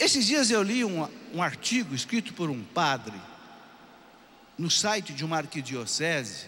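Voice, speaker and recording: A man's high-pitched voice at a fairly slow pace, with very wide pitch swings. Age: 60s. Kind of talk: sermon.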